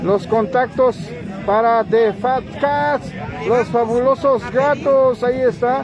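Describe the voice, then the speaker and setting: Over crowd noise in the background, a man speaks at a very slow pace in an extremely high pitch, with very even loudness, ordinary pitch variation and a dry sound with no echo. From Mexico. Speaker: internet radio host. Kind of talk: casual interview. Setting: mobile studio at street market. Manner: animated. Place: market.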